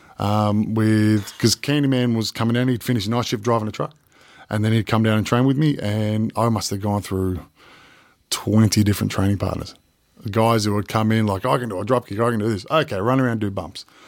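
Fairly quick speech from a man with an Australian accent and fairly even intonation. The recording is very clean, with a silent background. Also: fairly low pitch for a man. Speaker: professional wrestler. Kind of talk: casual interview.

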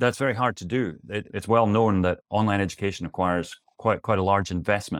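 Recorded very cleanly against a silent background, a man speaks with fairly low pitch and a dry, close sound with no echo. He keeps a fairly quick pace and fairly even intonation. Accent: Scottish. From Scotland. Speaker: college president. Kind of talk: interview conversation.

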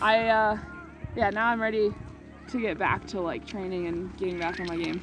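Moderate pacing broken by long, frequent pauses. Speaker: skier, race athlete. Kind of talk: casual interview.

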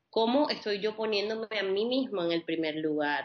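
A calm-toned woman at a moderate pace, with ordinary pitch variation. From Colombia, Caribbean coast (Barranquilla). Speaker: holistic psychologist. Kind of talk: interview.

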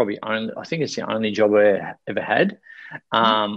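Fairly quick, medium-pitched speech from a man with an Australian accent, dry and close with no echo, against a quiet background. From Australia, Victoria coast. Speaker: life coach and speaker. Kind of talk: interview. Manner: animated.

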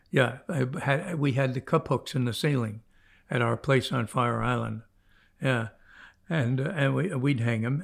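In a very clean recording with a silent background, a man of medium pitch with vocal fry speaks at a fairly slow pace with ordinary pitch variation. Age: 90s. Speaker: fly fishing legend. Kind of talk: interview storytelling. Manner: halting.

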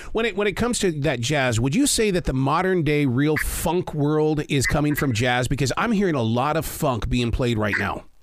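An ordinary speaking voice with an American accent and lively intonation. The loudness stays very even, with hardly any pauses. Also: man, fairly high pitch for a man, moderate pace. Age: 60s. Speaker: podcast host. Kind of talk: interview.

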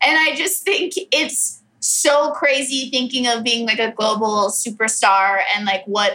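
This woman speaks with a Californian accent. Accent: Californian American. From US West, Orange County, California. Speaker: comedian. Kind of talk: casual chat.

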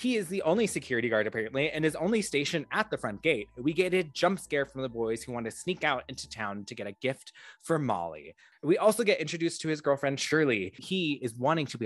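Against a quiet background, a man with an American accent talks at a fairly quick pace with hardly any pauses. His fairly high pitch swings very widely. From California, San Fernando Valley. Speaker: podcast co-host. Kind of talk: casual chat.

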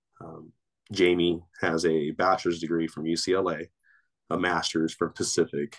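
A man's very deep, low voice with an American accent, at a fairly slow pace and in a monotone, flat intonation. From Torrance, Los Angeles area. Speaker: basketball coach and grad student. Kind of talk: casual interview.

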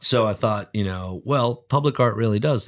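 An ordinary speaking voice from a man with an American accent, fairly quick and lively in intonation, on a very clean recording with a silent background. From New Jersey, US. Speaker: artist. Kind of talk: casual interview.

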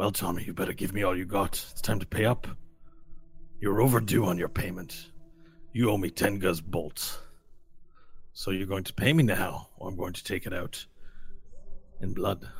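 Over music in the background, a man performs a put-on character voice at a fairly low pitch and a moderate pace, with ordinary pitch variation and long, frequent pauses. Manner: menacing.

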